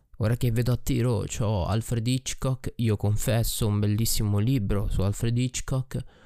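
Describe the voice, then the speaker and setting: In a very clean recording with a silent background, a man speaks at a moderate pace and a medium pitch. His tone is dark and mellow, with fairly even intonation. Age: 20s. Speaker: podcaster and streamer. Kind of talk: personal monologue. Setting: recording alone at night at his desk. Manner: reflective.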